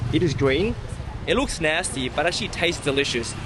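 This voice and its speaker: A man with a fairly high voice is heard against noticeable background noise. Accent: Australian. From Australia. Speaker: food and travel vlogger. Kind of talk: casual vlog narration. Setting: outdoors. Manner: animated.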